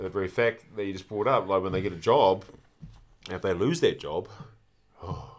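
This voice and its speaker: Speaking with a New Zealand accent, a man has a fairly low pitch and ordinary pitch variation. He keeps a moderate pace with long, frequent pauses. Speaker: former rugby player. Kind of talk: casual chat. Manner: halting.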